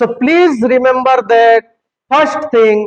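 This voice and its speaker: In an Indian accent, the speaker goes at a very slow pace with ordinary pitch variation. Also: man. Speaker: English teacher. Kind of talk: motivational speech. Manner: animated.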